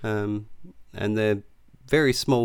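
A man with a fairly low pitch and an Australian accent, at a fairly slow pace. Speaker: podcast co-host. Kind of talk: casual chat.

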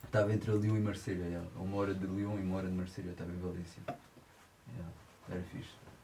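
A man with a very deep, low voice talks at a very fast pace in a flat monotone, leaving long, frequent pauses. Room echo is audible. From France. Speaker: musician, guitarist and singer. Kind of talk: casual chat. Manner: halting.

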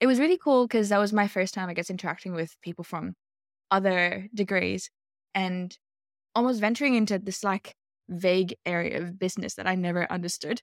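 The sound is dry and close with no echo. A woman with an Australian accent speaks fairly quickly at medium pitch, her pitch varying in an ordinary way. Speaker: product manager. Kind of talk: casual chat.

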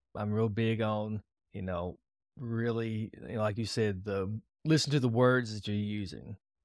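In a dry, close recording with no echo, a man with a normal speaking voice talks at a moderate pace, his pitch fairly low and his intonation fairly even. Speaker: podcast host. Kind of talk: casual interview.

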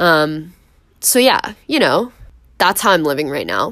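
A woman with an American accent speaks at a very deep, low pitch. Her pace is fairly slow. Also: very clean recording, silent background. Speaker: podcast host, university student. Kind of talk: casual monologue. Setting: dorm room. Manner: filler-heavy, frequent um and like.

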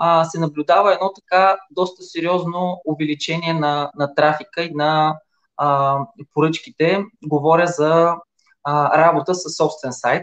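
This man has a high pitch. He speaks at a fairly slow pace. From Bulgaria, Silistra. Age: 40s. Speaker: online retailer. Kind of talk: interview.

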